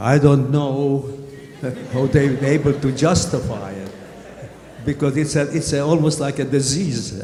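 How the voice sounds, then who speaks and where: Talking at a very slow pace in a Hungarian accent, a man has a fairly high pitch and fairly even intonation. Audible room echo and noticeable background noise surround him. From Hungary. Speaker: Holocaust survivor. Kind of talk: testimony. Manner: halting.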